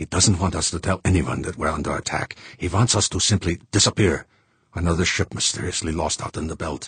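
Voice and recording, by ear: A man's put-on character voice, low-pitched with a husky, rough edge and a fairly bright tone, at a fairly quick pace. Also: ordinary pitch variation.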